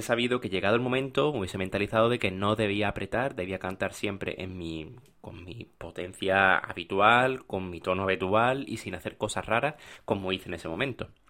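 A fairly quick pace and ordinary pitch variation in a very clean recording with a silent background. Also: man. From Spain, Málaga (Andalusia). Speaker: opera singer and podcast host. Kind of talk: casual storytelling monologue. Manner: unscripted with hesitations.

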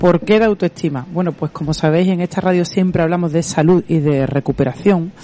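A woman's fairly quick speech at a fairly low pitch amid noticeable background noise. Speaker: radio host, physiotherapist. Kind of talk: radio interview.

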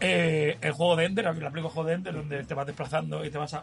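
A fairly high-pitched man talks very fast as music plays in the background. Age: 40s. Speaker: podcast co-host. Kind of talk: casual chat. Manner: animated.

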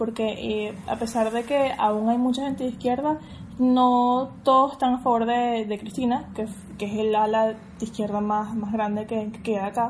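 A woman's fairly high-pitched, ordinary speaking voice at a fairly slow pace. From Venezuela, Caracas. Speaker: Venezuelan emigrant. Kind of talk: casual chat.

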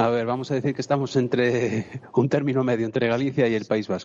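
Dark and mellow in tone, a man speaks at a fairly quick pace. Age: 40s. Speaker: spearfisherman. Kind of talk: interview.

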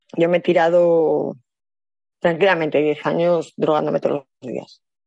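Her pace is fairly slow. This woman speaks at a fairly low pitch. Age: 40s. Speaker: prostitution survivor and activist. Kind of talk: interview testimony. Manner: halting.

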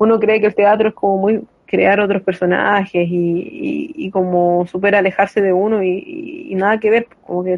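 A woman speaks in a Chilean accent with ordinary pitch variation. Noticeable background noise runs underneath. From Chile, San Fernando. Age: 20s. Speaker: actor and drag king performer. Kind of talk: casual interview conversation.

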